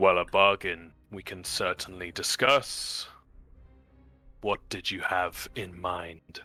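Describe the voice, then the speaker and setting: A man talks at a very slow pace in a very deep, low pitch, using a put-on character voice. Faint music plays in the background. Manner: smiling, amiable bargaining.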